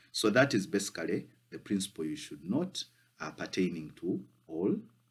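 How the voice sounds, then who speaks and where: Speaking at a moderate pace, a man with a fairly low pitch makes very wide pitch swings. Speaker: law tutor. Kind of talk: lecture. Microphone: phone near.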